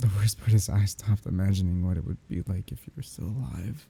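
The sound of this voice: Putting on a character voice, a man speaks fairly quickly at a low pitch, with a husky, rough edge, vocal fry and a dark, mellow tone. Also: ordinary pitch variation.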